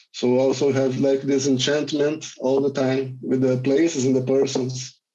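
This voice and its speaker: Speaking at a moderate pace with a Brazilian accent, a man uses a dark, mellow tone at medium pitch. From Rio de Janeiro, Brazil. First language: Portuguese. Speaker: filmmaker, cinematographer. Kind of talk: film Q&A.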